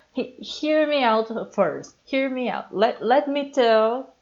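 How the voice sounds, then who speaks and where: Speech comes at a very slow pace. The background is quiet. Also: woman. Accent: strong Brazilian. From Brazil. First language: Portuguese. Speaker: YouTuber and comic artist. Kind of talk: casual voiceover monologue. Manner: animated, stammering when excited.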